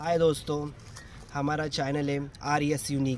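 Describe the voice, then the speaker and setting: The sound is dry with no echo, carrying light background noise. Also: man. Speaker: comedy skit creator. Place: open country. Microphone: camera far.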